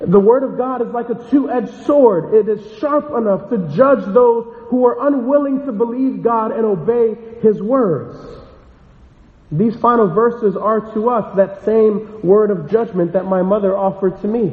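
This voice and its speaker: A man with a high-pitched voice speaks at a moderate pace with ordinary pitch variation over noticeable background noise. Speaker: pastor. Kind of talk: sermon. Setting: church.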